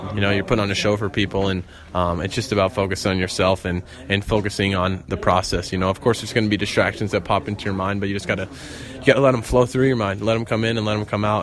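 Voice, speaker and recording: Over noticeable background noise, a man speaks very fast at a fairly low pitch with fairly even intonation. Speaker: motocross racer. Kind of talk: post-race interview.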